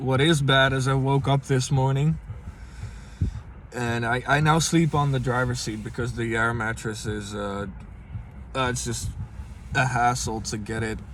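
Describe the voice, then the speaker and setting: A man with a Dutch accent speaks with fairly even intonation and long, frequent pauses. Audible room echo surrounds his voice. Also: medium pitch for a man, fairly slow pace. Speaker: vlogger. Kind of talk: casual vlog. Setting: inside a car. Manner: halting, many fillers.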